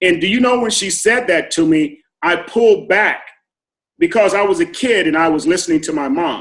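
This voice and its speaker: A man speaks at a high pitch with lively intonation. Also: moderate pace. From US West Coast, Los Angeles area. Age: 60s. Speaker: formerly incarcerated business owner. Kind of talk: interview testimony. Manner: halting with fillers.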